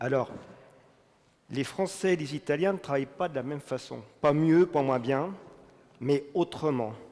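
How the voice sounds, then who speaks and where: A man's fairly high voice at a fairly slow pace, with ordinary pitch variation and long, frequent pauses. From France. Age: 60s. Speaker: business executive. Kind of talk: testimony talk.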